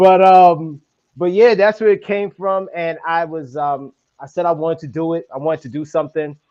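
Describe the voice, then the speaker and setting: A man speaks at a moderate pace in a high, dark and mellow voice, with ordinary pitch variation and big swings in loudness. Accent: New York. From Brooklyn, New York. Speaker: podcaster. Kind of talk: casual interview. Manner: animated.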